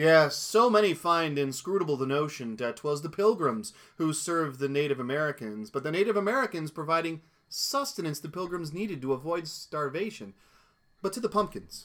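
Speaking fairly quickly in a plain, everyday voice, a man uses lively intonation at a fairly high pitch. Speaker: podcast co-host. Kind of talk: casual chat.

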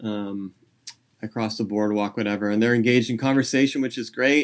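With a Californian accent, a man speaks with ordinary pitch variation. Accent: General American, Californian. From US West Coast, San Jose, California. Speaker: junior high English teacher and birder. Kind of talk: casual interview chat.

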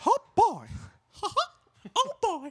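Someone uses a put-on character voice with an extremely high pitch and a playful tone. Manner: cartoonish, playful.

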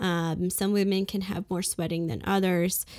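In an American accent, a woman speaks at a medium pitch and a fairly slow pace with monotone, flat intonation, on a very clean recording with a silent background. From US Northeast, Brooklyn, New York. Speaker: physician. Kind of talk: interview.

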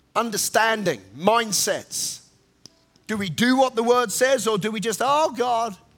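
With music in the background, a man speaks fairly slowly in an extremely high pitch, his tone animated and his pitch variation ordinary. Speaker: preacher. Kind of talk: sermon. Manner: animated, forceful.

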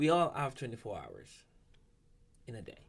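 Talking at a moderate pace, a man uses ordinary pitch variation. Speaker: podcast host, doctor. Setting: studio.

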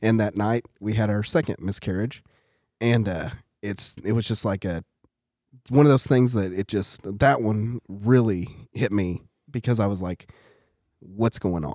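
A man speaks at a fairly low pitch and a fairly slow pace, his tone dark and mellow, with long, frequent pauses, on a very clean recording with a silent background. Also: ordinary pitch variation. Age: 40s. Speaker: church class teacher, guest. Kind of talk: casual chat.

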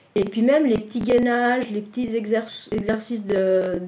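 A woman's fairly high voice at a fairly slow pace, with ordinary pitch variation and noticeable background noise. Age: 40s. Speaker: client, stay-at-home mother and former nurse. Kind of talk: testimony. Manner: halting, many hesitations and repetitions.

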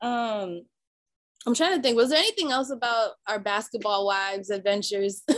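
Speaking with an American accent, a woman has a fairly high pitch. Her pitch varies in an ordinary way, and her pace is moderate. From Boston area. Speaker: podcast host. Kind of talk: casual chat. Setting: outdoors.

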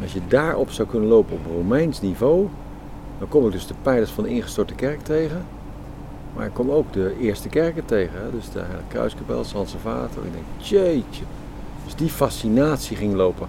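The pitch swings very wide and the loudness rises and falls a great deal. Noticeable background noise sits behind the voice. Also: man, medium pitch for a man, moderate pace. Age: 60s. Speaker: architect and project initiator. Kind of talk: interview. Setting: outdoors in a garden.

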